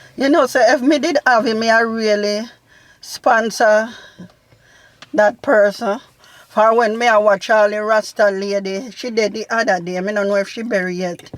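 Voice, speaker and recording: With a Jamaican accent, a woman speaks at a moderate pace in a fairly high voice with ordinary pitch variation. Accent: Jamaican patois. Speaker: family vlog mother. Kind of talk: casual Q&A chat.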